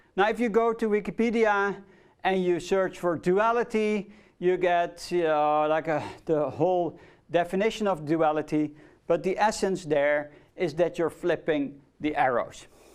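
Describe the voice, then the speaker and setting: A man with a Dutch accent speaks in a high voice with ordinary pitch variation and very even loudness. The recording is very clean, the background silent. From Netherlands. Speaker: lecturer. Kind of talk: lecture. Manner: casual, with fillers.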